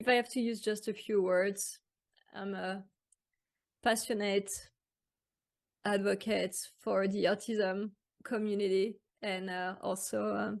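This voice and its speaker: Against a quiet background, a woman with a French accent speaks at a fairly slow, monotone, flat medium pitch, with long, frequent pauses. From France. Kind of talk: interview. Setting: podcast. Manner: halting.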